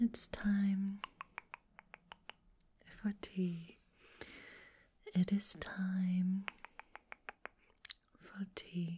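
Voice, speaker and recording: Whispering and soft-spoken, a woman talks at a very slow pace with long, frequent pauses over light background noise. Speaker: ASMR creator. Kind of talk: ASMR personal attention. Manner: soft-spoken, whispered. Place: home room. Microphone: studio mic.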